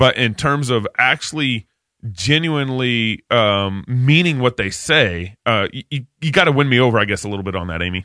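A man with a plain, everyday voice talks at a medium pitch and a moderate pace, his intonation lively. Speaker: podcast host. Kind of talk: casual banter.

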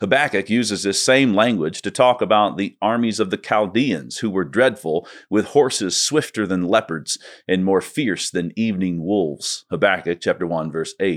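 A man's fairly low voice, an ordinary speaking voice, at a moderate pace with lively intonation, dry and close with no echo, on a very clean recording with a silent background. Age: 30s. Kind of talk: scripted essay narration.

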